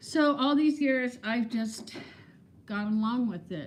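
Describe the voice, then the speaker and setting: Very slow, somewhat breathy speech from a woman. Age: 60s. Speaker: vlogger. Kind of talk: casual livestream chat. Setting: livestream. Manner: animated.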